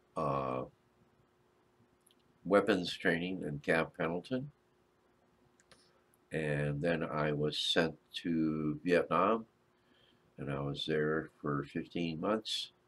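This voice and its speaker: At a very slow pace with long, frequent pauses, a man speaks at a very deep, low pitch. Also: ordinary pitch variation. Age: 70s. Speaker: Navy and Vietnam war veteran streamer. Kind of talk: casual live stream chat with viewers. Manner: hesitant, many filler uhs.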